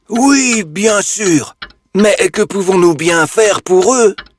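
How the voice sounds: A man uses a cartoonish character voice pitched high. He speaks at a very slow pace. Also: very even loudness.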